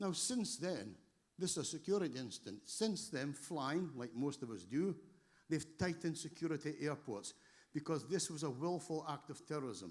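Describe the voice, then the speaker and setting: A man with a Scottish accent speaks at a moderate pace in a fairly high voice. His intonation is lively, with some vocal fry. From Scotland. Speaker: emergency response trainer. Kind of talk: conference presentation.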